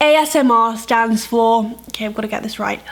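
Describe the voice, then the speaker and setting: With ordinary pitch variation and a fairly high pitch, a woman keeps a moderate pace over noticeable background noise. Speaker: lifestyle and health vlogger. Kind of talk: vlog intro then ASMR attempt.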